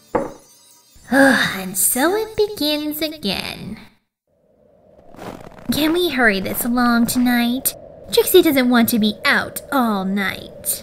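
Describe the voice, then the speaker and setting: In a put-on character voice that sounds female, pitched high for a woman, the speaker goes very slowly with long, frequent pauses. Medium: fan dub. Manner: haughty, refers to herself in third person, impatient.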